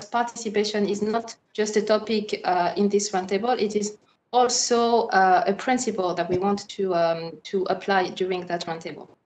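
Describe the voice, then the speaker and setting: Speaking with a French accent, a woman uses a medium pitch, ordinary pitch variation and a moderate pace. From France. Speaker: moderator, human rights lawyer. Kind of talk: panel discussion moderation. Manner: hesitant, many fillers.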